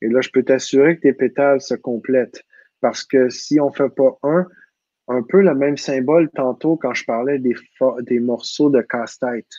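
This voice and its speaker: In a Quebec accent, a man with a dark, mellow tone talks at medium pitch and moderate pace with fairly even intonation, in a dry, close sound with no echo against a quiet background. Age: 40s. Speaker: personal growth teacher. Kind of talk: casual talk, live online talk. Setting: video call, live stream.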